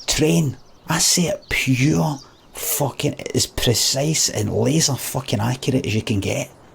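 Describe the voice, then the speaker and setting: A man in a Scottish accent at a medium pitch and a fairly slow pace, with noticeable background noise. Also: lively intonation. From Scotland. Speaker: streamer. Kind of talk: rant. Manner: animated.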